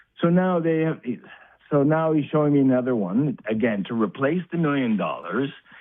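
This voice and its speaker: Holding his loudness very even, a man with a fairly high pitch speaks at a moderate pace with lively intonation. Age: 60s. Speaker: caller. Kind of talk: phone-in call. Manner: halting.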